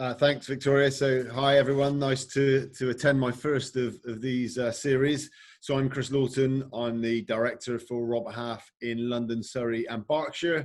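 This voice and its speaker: A man with a Bristol accent talks at a medium pitch and a moderate pace. His intonation is monotone and flat, with hardly any pauses. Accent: regional Bristol. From England, Bristol. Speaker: recruitment director. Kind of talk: webinar panel. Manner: hesitant, many fillers.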